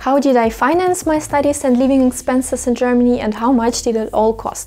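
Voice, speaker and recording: In a Russian accent, a woman with a high pitch talks at a fairly quick pace with ordinary pitch variation, over noticeable background noise. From Russia, Moscow region. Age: 20s. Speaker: vlogger. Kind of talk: vlog talking to camera.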